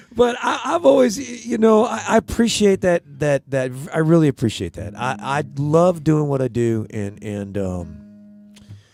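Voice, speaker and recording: Music plays behind a man whose fairly high voice makes very wide pitch swings, the sound dry and close with no echo. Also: fairly slow pace, hardly any pauses. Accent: American. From US West Coast (Hollywood, California). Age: 60s. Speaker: songwriter. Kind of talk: casual chat. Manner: animated; halting.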